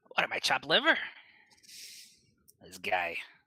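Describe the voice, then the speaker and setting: A man puts on a character voice that is rumbling and very deep, low in pitch. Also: moderate pace. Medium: actual play. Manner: grumbly, sulky.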